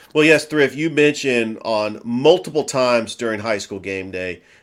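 Enthusiastic in tone, a man speaks with lively intonation at a medium pitch. The recording is very clean, with a silent background. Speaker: sports broadcaster. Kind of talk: sports talk show.

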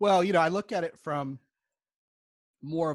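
A man with an unremarkable speaking voice, lively intonation and a moderate pace, dry, close sound without echo, quiet background. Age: 50s. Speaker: relationship coach. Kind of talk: interview.

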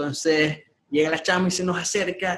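The speaker is a man whose voice sits at a high pitch. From Venezuela, Maracaibo. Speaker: graphic designer. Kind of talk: interview.

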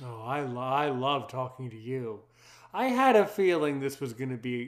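A man speaks at a medium pitch and a moderate pace. It is an ordinary speaking voice. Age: 30s. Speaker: podcast host. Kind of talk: casual interview.

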